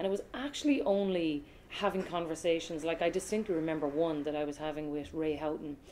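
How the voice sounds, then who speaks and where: The speech comes at a very fast pace, with light background noise. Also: woman, fairly low pitch for a woman, ordinary pitch variation. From Ireland, Cork (grew up partly in Australia); Ireland. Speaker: sports broadcaster; interviewee. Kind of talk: casual interview; interview answer. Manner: fast, lots of fillers. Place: home room.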